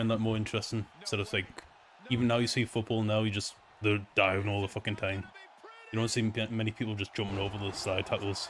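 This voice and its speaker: Talking at a very fast pace with a Newcastle accent, a man keeps a monotone, flat intonation at a fairly low pitch over noticeable background noise. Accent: Newcastle (Geordie), noticeable. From northern England, Newcastle. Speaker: gaming streamer. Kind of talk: casual live-stream chat while gaming. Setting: quiet empty room at home, late night. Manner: rambling, casual.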